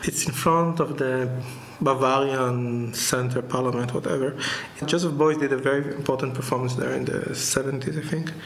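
Over noticeable background noise and audible room echo, a man with a fairly high pitch and ordinary pitch variation talks at a fairly quick pace. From Israel (Jerusalem), born in Tunis. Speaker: visual artist. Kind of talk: interview. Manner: halting.

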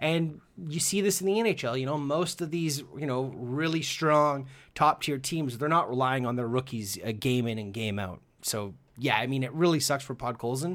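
On a very clean recording with a silent background, a man with an unremarkable speaking voice talks at a moderate pace in a fairly high pitch with lively intonation. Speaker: podcast host. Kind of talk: casual chat.

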